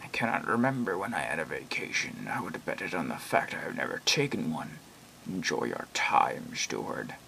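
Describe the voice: Over light background noise, a man delivers a put-on character voice at a moderate pace.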